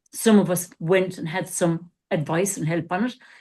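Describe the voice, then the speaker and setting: A woman speaks at a moderate pace in a fairly low pitch, her dark, mellow tone somewhat breathy and her intonation fairly even, over a quiet background. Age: 60s. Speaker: coach and former therapist. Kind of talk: casual podcast discussion.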